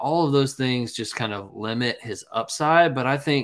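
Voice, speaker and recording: A man with an American accent speaks at a moderate pace in a normal speaking voice, medium-pitched with ordinary pitch variation, on a very clean recording with a silent background. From US South, North Carolina. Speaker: fantasy football podcast co-host. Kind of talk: casual chat.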